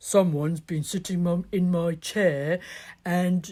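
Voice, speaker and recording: This is a put-on character voice at a middle pitch, delivered at a fairly slow pace. The recording is very clean with a silent background. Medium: read story.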